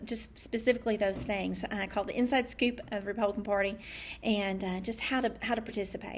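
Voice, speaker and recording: A woman with a Southern accent talks at a very fast pace in a fairly high pitch with monotone, flat intonation. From US South, East Tennessee. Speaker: political candidate. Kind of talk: campaign talk to camera. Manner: halting, often tongue-tied.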